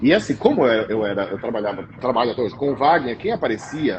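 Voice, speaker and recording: A man talks at a fairly quick pace, his pitch swinging very widely. Music plays in the background. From interior of São Paulo state, Brazil. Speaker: pastry chef. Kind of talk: interview. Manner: halting, repeats words.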